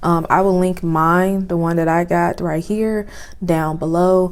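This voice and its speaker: The woman's voice is fairly low in pitch. Her intonation is monotone and flat. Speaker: beauty and lifestyle YouTuber. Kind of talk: casual product review vlog. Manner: casual.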